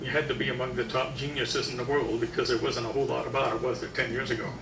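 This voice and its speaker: A man at medium pitch, talking at a very fast pace, with audible room echo and noticeable background noise. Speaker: health lecturer. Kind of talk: lecture. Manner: loud.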